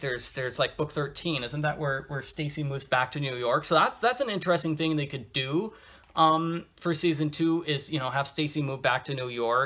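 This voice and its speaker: Bright and sharp in tone, a man speaks at a moderate pace with ordinary pitch variation. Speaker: episode reviewer. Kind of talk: casual vlog review commentary. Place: home room. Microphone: phone near.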